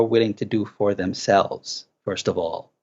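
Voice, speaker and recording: The speaker is a man with a Jamaican accent. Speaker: philosophy professor and author. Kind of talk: interview conversation.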